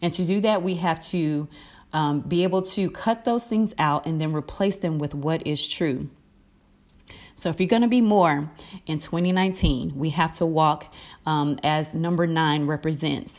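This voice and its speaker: A woman with a plain, everyday voice speaks at a moderate pace in a fairly low pitch with ordinary pitch variation, on a very clean recording with a silent background. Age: 30s. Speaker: inspirational podcast host. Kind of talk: inspirational talk. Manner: conversational.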